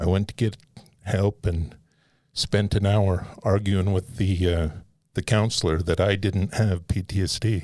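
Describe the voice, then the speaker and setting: An American-accented man at a fairly slow pace with very even loudness and fairly even intonation on a very clean recording with a silent background. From Nevada. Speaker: military veteran. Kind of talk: interview.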